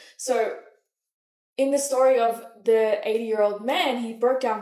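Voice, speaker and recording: Against a quiet background, a woman talks in a high pitch with ordinary pitch variation. Audible room echo surrounds her voice. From Malaysia. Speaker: manifestation coach. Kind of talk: motivational talk to camera. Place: home room.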